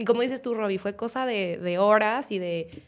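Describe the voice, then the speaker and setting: A normal speaking voice with ordinary pitch variation on a very clean recording with a silent background. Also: woman. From Guadalajara, Mexico. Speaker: startup CEO. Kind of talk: casual chat.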